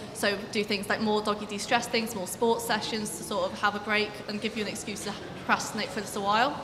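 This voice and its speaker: A woman races along at a very fast pace with hardly any pauses, her fairly high voice monotone and flat, amid noticeable background noise and audible room echo. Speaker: student election candidate. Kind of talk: campaign speech.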